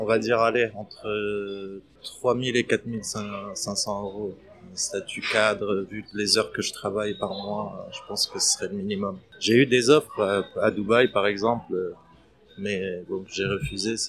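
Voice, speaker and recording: A man speaks very slowly in a flat, monotone way at a fairly low pitch. Music plays in the background. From Palestine, Middle East. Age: 30s. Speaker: restaurant entrepreneur. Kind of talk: interview testimony. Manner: hesitant, many fillers.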